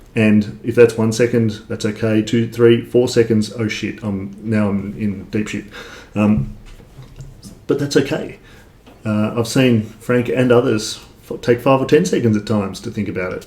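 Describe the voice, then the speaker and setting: Fairly even in intonation and medium in pitch, a man talks at a moderate pace. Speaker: online entrepreneur, affiliate marketer. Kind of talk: casual livestream talk to viewers. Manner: halting, many fillers.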